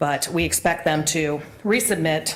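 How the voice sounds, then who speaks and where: In a monotone, flat delivery, a woman speaks at a very deep, low pitch. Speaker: attorney, audit committee member. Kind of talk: committee report at public meeting. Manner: loud.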